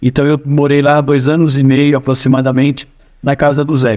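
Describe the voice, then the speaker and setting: His speed is moderate. This man's voice sits fairly high. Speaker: storyteller. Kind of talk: personal anecdote. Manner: casual, hesitant. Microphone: no microphone, AI-enhanced audio.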